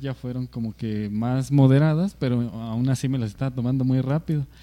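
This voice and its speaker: At a medium pitch for a man, a man with an ordinary speaking voice talks at a moderate pace. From Mexico. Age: 20s. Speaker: podcast co-host. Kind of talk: casual chat.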